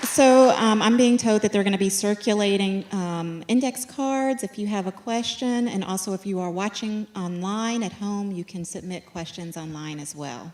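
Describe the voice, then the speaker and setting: Using an ordinary speaking voice, a woman talks at a medium pitch and a moderate pace with ordinary pitch variation, hardly any pauses and big swings in loudness. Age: middle-aged. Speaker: event moderator. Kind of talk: onstage interview. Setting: stage with audience.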